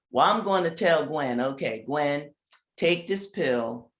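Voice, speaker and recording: A woman with a very deep, low pitch swings her pitch very widely while speaking at a fairly slow pace. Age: 70s. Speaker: author. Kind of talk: interview. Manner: animated.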